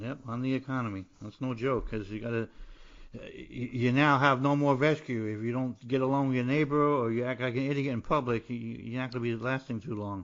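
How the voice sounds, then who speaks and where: In a New Jersey accent, a man talks with fairly even intonation. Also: medium pitch for a man, fairly quick pace. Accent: New Jersey American. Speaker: podcast host, poet and playwright, military veteran. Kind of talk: interview podcast. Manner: halting, repetitive.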